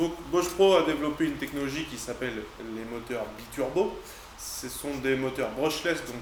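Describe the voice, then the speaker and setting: With audible room echo and noticeable background noise, a man speaks at a moderate pace. His pitch is fairly high with ordinary variation, and his loudness swings widely. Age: 20s. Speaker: cabinetmaker reviewing tools. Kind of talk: product review tutorial. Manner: hesitant, frequent filler sounds.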